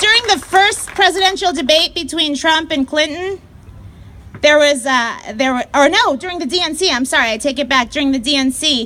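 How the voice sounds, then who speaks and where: Over noticeable background noise, a woman talks at a moderate pace in a raised, projected, high-pitched voice with lively intonation. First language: not English. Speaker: activist speaker. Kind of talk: rally speech. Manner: animated.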